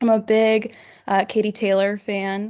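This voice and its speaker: This voice has a Midwestern American accent. The background is quiet. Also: woman. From Northwest Indiana. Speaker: student. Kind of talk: casual chat.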